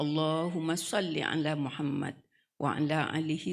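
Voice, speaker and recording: Keeping her intonation fairly even, a woman speaks at a fairly slow pace. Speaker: female Islamic preacher. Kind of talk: wedding sermon. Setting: wedding reception.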